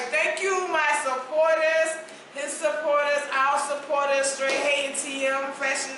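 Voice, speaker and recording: In a South Carolina accent, a woman with a high pitch uses a raised, projected voice at a fairly slow pace, her intonation monotone and flat, with noticeable background noise and audible room echo. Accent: South Carolina Southern. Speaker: podcast host. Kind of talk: casual chat. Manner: casual, filler-heavy.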